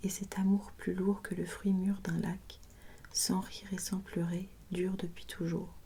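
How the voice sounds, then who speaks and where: In a calm, soft-spoken manner, a woman talks with a somewhat breathy, dark, mellow tone and monotone, flat intonation. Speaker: ASMR creator. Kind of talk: poetry reading, sleep-inducing ASMR. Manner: soft-spoken, calm.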